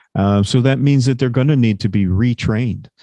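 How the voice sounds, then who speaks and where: A man speaks with a medium pitch, a dark, mellow tone and ordinary pitch variation. The sound is dry and close with no echo, over a quiet background. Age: 60s. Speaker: industry executive. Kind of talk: webinar interview.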